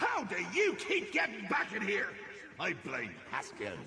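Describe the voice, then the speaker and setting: A man performs in a put-on character voice at a fairly slow pace. Clear echo and clear background noise surround him. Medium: video game. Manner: theatrical, erratic, gleeful.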